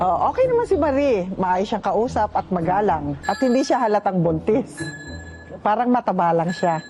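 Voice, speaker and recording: A woman talks at a moderate pace with lively intonation, her pitch medium and her loudness very even. Music plays in the background. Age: 70s. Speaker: cast member's mother. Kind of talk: casual chat.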